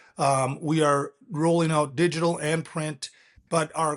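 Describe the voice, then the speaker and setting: A man speaks with an American accent in a normal speaking voice. His pitch is fairly high, and his intonation stays fairly even. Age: 60s. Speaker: company founder and CEO. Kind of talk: interview.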